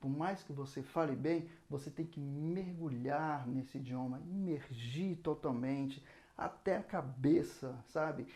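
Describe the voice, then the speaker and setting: A man with a Brazilian accent speaks at a fairly slow pace in a fairly high pitch. His tone is dark and mellow, with ordinary pitch variation. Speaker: saxophone teacher. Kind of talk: lesson.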